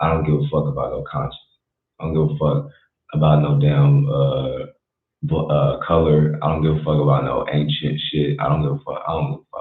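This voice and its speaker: A man speaks quietly. His pace is moderate. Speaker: livestreamer. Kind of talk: casual livestream talk. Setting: home at night, livestream. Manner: quiet, keeping voice down.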